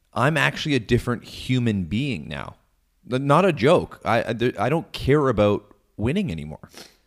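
A man's medium-pitched voice with vocal fry and very wide pitch swings, at a moderate pace, in a very clean recording with a silent background. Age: 30s. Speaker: sports podcast co-host. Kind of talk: casual chat. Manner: animated.

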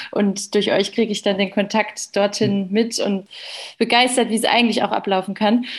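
At a moderate pace, a woman with a medium pitch sounds somewhat breathy, her intonation monotone and flat. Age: young. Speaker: doctor. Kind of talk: casual chat.

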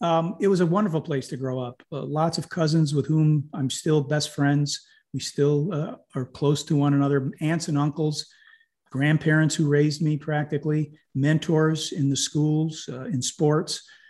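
Here a man with an American accent talks at a moderate pace, somewhat breathy and fairly high in pitch. The background is quiet. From upstate New York. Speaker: community development organisation co-founder. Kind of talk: interview.

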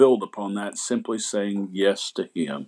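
A man speaks in a Southern US accent. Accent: Southern American. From US South, Asheville, North Carolina. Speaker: pastor. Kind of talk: testimony.

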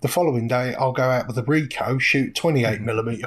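Spoken with an English accent at a moderate pace, the voice is somewhat breathy and keeps a fairly even intonation. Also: man. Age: 40s. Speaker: street photographer. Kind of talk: podcast interview. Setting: remote call.

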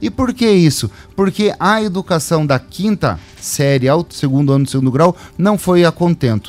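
Over music in the background, the speaker talks at a moderate pace with lively intonation and very even loudness, the sound dry and close with no echo. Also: man, fairly high pitch for a man. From Cascavel, Paraná, Brazil. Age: 40s. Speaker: mayoral pre-candidate. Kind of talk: radio interview.

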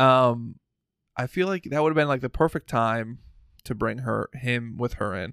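This man has an unremarkable speaking voice, medium in pitch with ordinary variation, delivered at a moderate pace. The recording is very clean, with a silent background and a dry, close sound with no echo. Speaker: podcast host. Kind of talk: casual chat. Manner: casual, laid-back.

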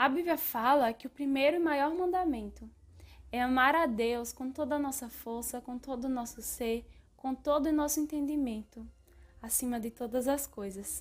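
A woman's high-pitched voice moves at a moderate pace, with ordinary pitch variation. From Brazilian Northeast. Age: 20s. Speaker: podcast host and philosophy student.

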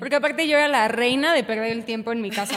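A woman's fairly high voice with ordinary pitch variation, against noticeable background noise. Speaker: former dancer, university student. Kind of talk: casual chat.

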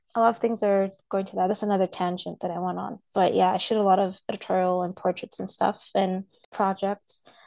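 A woman's medium-pitched voice, dark and mellow in tone, monotone and flat, at a fairly quick pace, in dry, close sound with no echo. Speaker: photographer. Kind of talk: casual chat.

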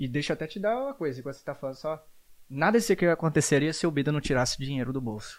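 A man with a fairly high pitch talks at a very fast pace with lively intonation. The recording is very clean, with a silent background. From Brazil, Espírito Santo (Jaguaré). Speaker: podcast host. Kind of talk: casual chat.

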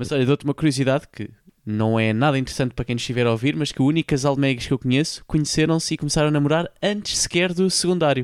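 On a very clean recording with a silent background, a man with a European Portuguese accent speaks at a very fast pace in a fairly high pitch, with hardly any pauses and a dry, close sound with no echo. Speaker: podcast host. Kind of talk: casual chat.

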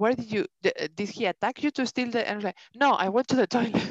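A woman with a Spanish accent talks at a fairly quick pace with lively intonation, in a dry, close sound with no echo. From Spain. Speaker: podcast co-host. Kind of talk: casual chat. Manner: animated.

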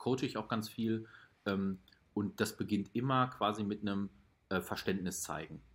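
A man's fairly low, plain, everyday voice, fairly slow and fairly even in intonation, on a very clean recording with a silent background. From Ruhr area, Germany. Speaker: startup founder. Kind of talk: casual interview.

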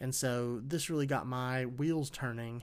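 With a normal speaking voice, a man talks at medium pitch using fairly even intonation. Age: 20s. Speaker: podcast host. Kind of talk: solo podcast monologue.

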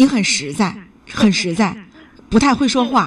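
A woman speaks in an animated tone at a fairly high pitch, her voice moving through very wide pitch swings. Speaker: radio call-in advice host. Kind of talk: call-in radio advice.

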